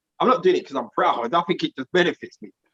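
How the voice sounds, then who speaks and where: In a London accent, a man speaks in a high, bright, sharp voice with an animated tone and very wide pitch swings, in a dry, close sound with no echo. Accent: London accent, noticed abroad. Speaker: podcast co-host. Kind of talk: casual group discussion. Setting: live stream.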